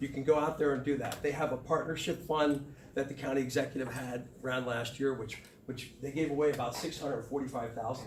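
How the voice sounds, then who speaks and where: A man with a fairly high voice speaks at a fairly quick pace and fairly even intonation. There is audible room echo and noticeable background noise. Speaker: tourism organization director. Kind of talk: community meeting presentation. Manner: halting.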